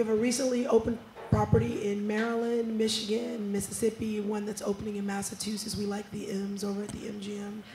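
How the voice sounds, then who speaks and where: Over noticeable background noise, a woman rushes at a very fast pace with hardly any pauses, her medium pitch flat and monotone while her loudness swings widely. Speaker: marketing executive on a panel. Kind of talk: panel discussion. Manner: usually loud and boisterous.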